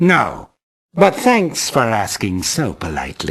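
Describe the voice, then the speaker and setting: A put-on character voice, low-to-middle in pitch, fairly slow, with very wide swings in pitch. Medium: video game. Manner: easygoing, chummy.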